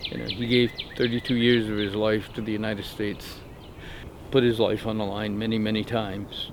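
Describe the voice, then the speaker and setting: Over noticeable background noise, a man with a fairly low pitch talks at a fairly quick pace in a flat, monotone way. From New Brunswick, Canada. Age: 50s. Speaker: campus safety officer and veteran. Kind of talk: documentary interview. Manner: halting.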